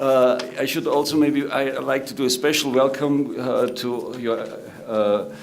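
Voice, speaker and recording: In an Austrian accent, a man talks at a fairly slow pace and medium pitch with monotone, flat intonation, audible room echo and noticeable background noise. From Austria, Salzburg. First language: German. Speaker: government protocol director and moderator. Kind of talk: conference panel moderation. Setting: conference room with audience. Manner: halting, many filler words.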